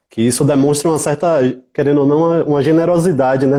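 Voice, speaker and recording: Dark and mellow in tone, a man speaks with a Bahian accent. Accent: Bahian Brazilian Portuguese. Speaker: music event producer and researcher. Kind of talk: interview.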